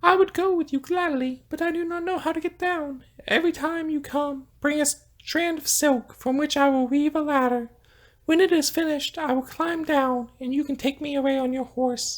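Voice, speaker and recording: The speaker puts on a high-pitched character voice. The pace is moderate. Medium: read story. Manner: sweet, soft.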